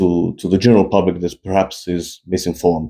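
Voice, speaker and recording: This man has a very deep, low pitch and a dark, mellow tone. He speaks at a moderate pace with a non-native accent. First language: not English. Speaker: fitness YouTuber. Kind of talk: opinion monologue. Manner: animated.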